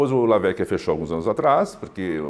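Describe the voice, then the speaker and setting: A man with a French accent, fairly low in pitch, at a fairly quick pace with very wide pitch swings. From Brazil, raised partly in Switzerland. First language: French (speaking Portuguese). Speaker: chef. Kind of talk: interview monologue. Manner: halting, many fillers.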